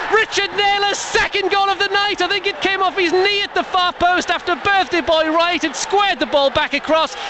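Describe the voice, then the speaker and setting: Against noticeable background noise, a man talks at an extremely high pitch and a fairly quick pace with hardly any pauses, his tone animated and the sound dry with no echo. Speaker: radio match commentator. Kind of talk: live radio football commentary, archive match. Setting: stadium, at the match. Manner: fast, animated, excitable, rising with each goal; breathless play-by-play with quick fire phrasing. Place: stadium.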